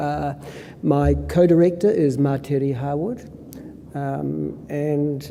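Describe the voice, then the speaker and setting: With a New Zealand accent, a man speaks in a fairly high voice, and audible room echo can be heard. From New Zealand, Northland. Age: 60s. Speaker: professor and epidemiologist. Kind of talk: conference presentation. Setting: conference stage with audience. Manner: hesitant with many fillers.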